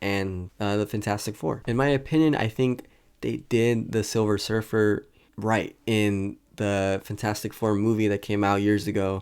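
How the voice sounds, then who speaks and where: On a very clean recording with a silent background, a man with a fairly low pitch and an ordinary speaking voice speaks at a moderate pace. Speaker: YouTube commentator on superhero movie rumors. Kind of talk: casual talk to camera.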